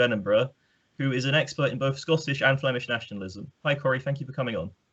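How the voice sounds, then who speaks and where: This man talks at a very fast pace, his medium pitch rising and falling with ordinary variation. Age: 20s. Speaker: podcast host, PhD student. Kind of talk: interview. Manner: hesitant, many ums.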